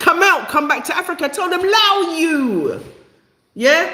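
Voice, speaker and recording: A woman with a London accent at a moderate pace, in audible room echo. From England, East London. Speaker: live stream host. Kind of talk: live stream chat. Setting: YouTube live stream. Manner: halting, many fillers.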